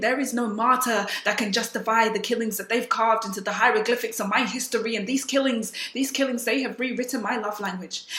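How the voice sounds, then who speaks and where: A woman's fairly even intonation carries over noticeable background noise. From South Sudan. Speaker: spoken word poet. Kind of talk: spoken word poetry performance.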